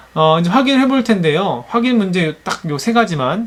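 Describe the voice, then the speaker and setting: With very wide pitch swings, a man talks at a moderate pace in a high pitch. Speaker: online teacher. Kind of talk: lecture. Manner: halting, many fillers.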